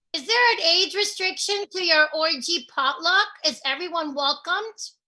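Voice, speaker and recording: A woman does a put-on character voice at an extremely high pitch, with lively intonation and a moderate pace. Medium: stage play. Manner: folksy, scolding yet mischievous.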